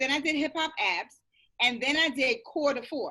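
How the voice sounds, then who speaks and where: In a raised, projected voice, a woman with a high pitch and lively intonation speaks at a moderate pace. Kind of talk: casual podcast conversation.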